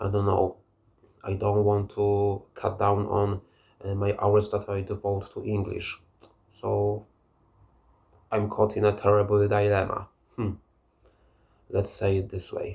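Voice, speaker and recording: A man with a Polish accent speaks fairly slowly in a fairly low, somewhat breathy voice, his intonation monotone and flat, with long, frequent pauses. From Poland. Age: 30s. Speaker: language learner vlogger. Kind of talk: casual monologue. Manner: halting.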